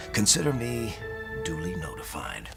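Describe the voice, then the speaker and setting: A man is talking at a moderate pace. Behind him, music plays. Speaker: voice actor reading a book excerpt. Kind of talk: dramatic reading of a prose excerpt. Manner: expressive storytelling.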